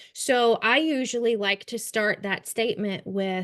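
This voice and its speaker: A woman with a Kentucky accent talks at a fairly high pitch against a quiet background. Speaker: trauma-informed care trainer. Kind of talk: webinar training lecture. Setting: online webinar.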